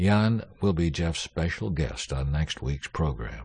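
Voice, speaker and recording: A man's very deep, low-pitched, somewhat breathy voice with lively intonation at a moderate pace. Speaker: announcer. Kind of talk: scripted announcement.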